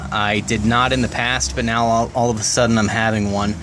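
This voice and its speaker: A man's medium-pitched voice at a moderate pace, with noticeable background noise and audible room echo. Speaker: car restoration vlogger. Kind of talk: DIY tutorial vlog. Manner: casual, hesitant with fillers.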